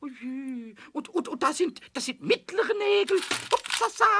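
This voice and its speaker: Putting on a character voice, a man speaks at an extremely high pitch and a fairly slow pace. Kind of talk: children's audio drama dialogue. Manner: playful, stammering, fast.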